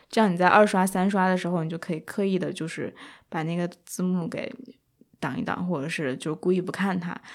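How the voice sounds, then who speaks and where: An ordinary speaking voice from a woman, medium in pitch, with fairly even intonation and a fairly quick pace. The recording is very clean, with a silent background. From China. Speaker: podcast co-host. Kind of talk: casual chat.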